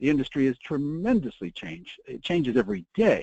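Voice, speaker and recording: A man talks at a fairly quick pace with very wide pitch swings and a dark, mellow tone. The sound is dry and close with no echo, over a quiet background. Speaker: promotional products industry veteran and presenter. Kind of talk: webinar presentation. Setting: online webinar broadcast. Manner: fast; animated.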